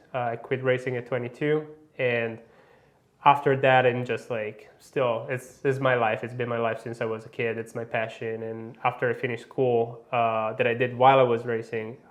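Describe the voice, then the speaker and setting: A man at medium pitch and a moderate pace, flat and monotone throughout. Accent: Italian. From Italy. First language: Italian. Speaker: motorcycle industry manager, former racer. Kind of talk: interview. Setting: studio.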